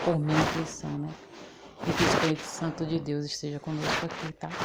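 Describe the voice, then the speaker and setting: A soft-spoken woman with a very deep, low pitch keeps a monotone, flat intonation over noticeable background noise. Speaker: lay preacher. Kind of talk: sermon.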